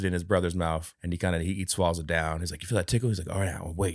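This man has a very deep, low voice with ordinary pitch variation and talks at a very fast pace. The recording is very clean, with a silent background. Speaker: movie podcast host. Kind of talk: casual chat.

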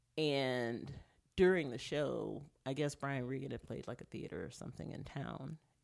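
In an American accent, a woman speaks at a very deep, low pitch with vocal fry. Her pace is moderate and her intonation fairly even. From Texas. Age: 40s. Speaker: stand-up comedian. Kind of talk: casual chat.

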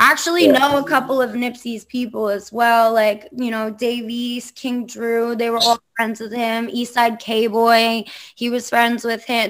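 With an American accent, a woman speaks in a normal speaking voice at a fairly high pitch, using fairly even intonation, a fairly slow pace and hardly any pauses. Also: very clean recording, silent background. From Long Island, New York. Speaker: podcast host and DJ. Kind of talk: casual interview chat.

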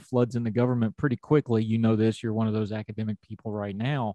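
With an Appalachian accent, a man speaks in a dark, mellow tone, the sound dry and close with no echo. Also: quiet background. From Appalachia, West Virginia.

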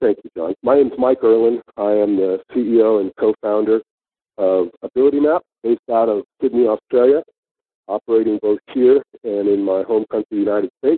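A man with an American accent speaks at a medium pitch and moderate pace in an ordinary speaking voice with ordinary pitch variation. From San Francisco, Northern California. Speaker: tech company founder and CEO. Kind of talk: interview.

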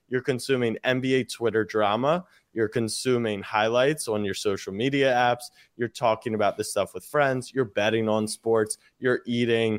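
An unremarkable speaking voice moves at a moderate pace with fairly even intonation. The recording is very clean, with a silent background and a dry, close sound free of echo. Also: man, medium pitch for a man. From US, Maryland (Baltimore). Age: 20s. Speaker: sports media entrepreneur. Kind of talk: casual chat.

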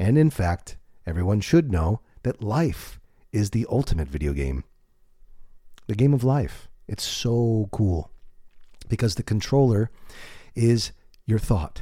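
A man's somewhat breathy, dark and mellow voice, fairly low in pitch with very wide pitch swings, at a fairly slow pace with long, frequent pauses, on a very clean recording with a silent background. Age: 40s. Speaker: author and podcast host. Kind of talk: solo monologue podcast. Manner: unscripted, conversational.

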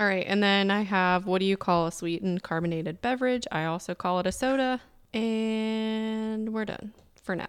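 In a very clean recording with a silent background, a woman at a medium pitch talks at a moderate pace with ordinary pitch variation and a slight Southern US accent. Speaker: podcast host. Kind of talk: casual chat.

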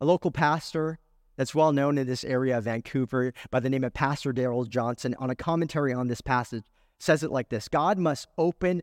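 A man's fairly high voice with an American accent and ordinary pitch variation, an ordinary speaking voice, dry and close with no echo, in a very clean recording with a silent background. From California. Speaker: pastor. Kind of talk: sermon. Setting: church.

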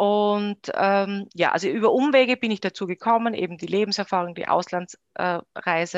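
A woman with a normal speaking voice talks at a fairly slow pace and medium pitch, with ordinary pitch variation, in a dry, close sound with no echo over a quiet background. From Austria, Styria. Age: 30s. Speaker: company founder. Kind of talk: interview.

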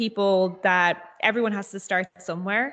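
At a medium pitch and moderate pace, a woman speaks with a Dublin accent. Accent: Dublin Irish. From Dublin, Ireland. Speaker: pre-sales consultant. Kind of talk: casual chat. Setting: video call.

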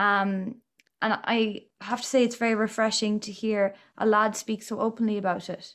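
A woman with an Irish accent and a fairly high pitch, monotone and flat in intonation, at a moderate pace on a very clean recording with a silent background. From Ireland. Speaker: podcast host. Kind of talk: casual interview.

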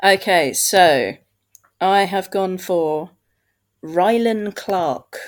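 Very clean and set against a silent background, this recording has a woman with a British accent speaking at a very slow pace with long, frequent pauses. Her pitch is medium and varies an ordinary amount. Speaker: podcast host. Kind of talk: casual chat.

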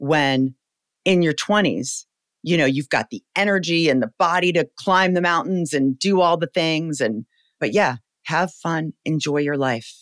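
A man's plain, everyday voice at fairly high pitch, fairly slow with ordinary pitch variation, dry and close with no echo, on a very clean recording with a silent background. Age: 40s. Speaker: startup founder and CEO. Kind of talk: casual interview.

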